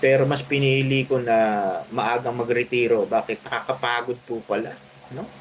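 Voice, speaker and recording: Against noticeable background noise, a man talks with monotone, flat intonation. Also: medium pitch for a man, moderate pace. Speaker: vlogger, retired police officer. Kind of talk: casual vlog commentary. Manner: halting, many filler sounds.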